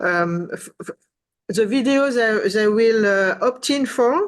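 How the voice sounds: Slowly, a woman talks at a fairly high pitch.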